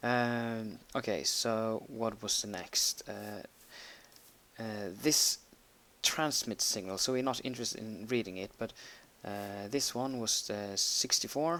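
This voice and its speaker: A very slow pace in a Norwegian accent. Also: man. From Norway. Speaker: gaming tutorial creator. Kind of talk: tutorial. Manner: halting, many fillers while typing.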